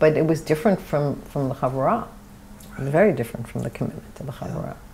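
A New York accent against light background noise. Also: woman. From New York City, Brooklyn (Borough Park); New York City. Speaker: architect, oral history interviewee; interviewee. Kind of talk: oral history interview. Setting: at her home. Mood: warm, reflective. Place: home room. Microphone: lapel.

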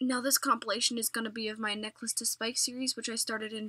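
Over noticeable background noise, a woman with a fairly high pitch talks at a very fast pace. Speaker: gaming youtuber. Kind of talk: casual vlog commentary.

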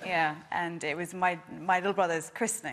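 Fairly quick and fairly even in intonation, a woman speaks. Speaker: talk show guest. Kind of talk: interview answer, anecdote. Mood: amused, laughing storytelling. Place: studio. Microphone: lapel.

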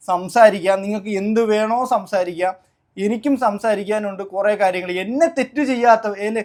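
On a very clean recording with a silent background, a man speaks in a high pitch with ordinary pitch variation. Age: 20s. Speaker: YouTuber. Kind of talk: personal statement to viewers. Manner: halting, repetitive.

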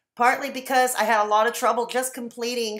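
Her pace is moderate. Behind the woman, the background stays quiet. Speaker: vlogger sharing a personal story. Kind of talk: casual vlog chat. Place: home room. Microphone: webcam.

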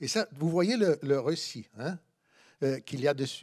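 Lively intonation from a male voice, the background quiet. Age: 60s. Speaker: philosophy professor. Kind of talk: conference lecture. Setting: conference room with audience. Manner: halting, many hesitations. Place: hall. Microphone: podium.

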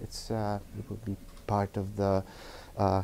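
The man's voice has a dark, mellow tone. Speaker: guest lecturer. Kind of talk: lecture. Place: classroom.

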